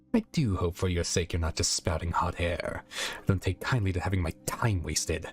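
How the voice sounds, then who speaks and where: Soft-spoken and hissing, a man talks at a fairly quick pace in a put-on character voice with a very deep, low pitch. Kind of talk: threatening, curt. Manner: soft, menacing, hissing.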